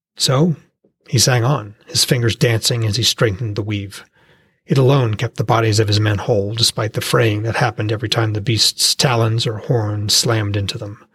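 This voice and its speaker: A man speaks at a moderate pace in a dramatic, somewhat breathy tone, with a dry, close sound and no echo. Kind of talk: fantasy fiction audiobook narration. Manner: dramatic, vivid storytelling with tense, urgent pacing in battle scenes.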